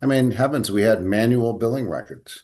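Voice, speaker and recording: Over a quiet background, a man with a normal speaking voice talks at a medium pitch and fairly quick pace. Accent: American. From Sacramento, California. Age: 60s. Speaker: dental management company CEO. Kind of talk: interview.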